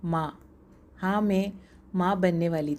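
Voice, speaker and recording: A woman's dark, mellow tone at medium pitch, fairly even in intonation, on a very clean recording with a silent background. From Kerala, India (Thrissur). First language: Malayalam (speaking Hindi). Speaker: entrepreneur. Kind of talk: scripted narration.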